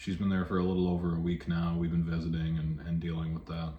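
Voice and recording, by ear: A man's low-pitched voice, dark and mellow in tone, fast and monotone with flat intonation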